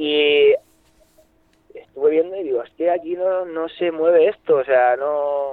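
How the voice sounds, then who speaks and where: A man's normal speaking voice, fairly high in pitch, at a fairly slow pace. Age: 20s. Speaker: fly rod seller. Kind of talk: casual interview. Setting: phone call.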